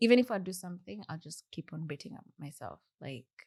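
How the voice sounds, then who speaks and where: Soft-spoken and somewhat breathy, a woman talks at a fairly quick pace with a Kenyan accent. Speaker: software engineer. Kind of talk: podcast interview.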